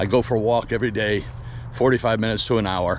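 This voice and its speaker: A man with a fairly low pitch speaks in fairly even intonation. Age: 60s. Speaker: vlogger. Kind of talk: casual monologue while walking. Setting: outdoors, walking with dog. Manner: rambling, conversational.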